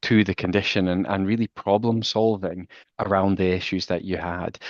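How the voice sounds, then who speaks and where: With a Scottish accent, a man speaks at a fairly quick pace with a very deep, low pitch and monotone, flat intonation. The sound is dry and close with no echo against a quiet background. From Scotland. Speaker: walking therapy researcher. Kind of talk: casual chat. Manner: halting, many restarts.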